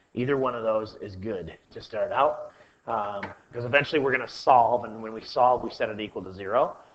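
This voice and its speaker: A man at medium pitch, fairly even intonation, big swings in loudness, audible room echo. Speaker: math teacher. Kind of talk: lecture. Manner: fast.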